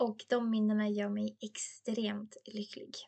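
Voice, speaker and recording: Somewhat breathy, a woman talks at a fairly high pitch. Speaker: podcast host, beauty educator. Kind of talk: educational monologue with personal anecdotes. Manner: chatty, laughs often.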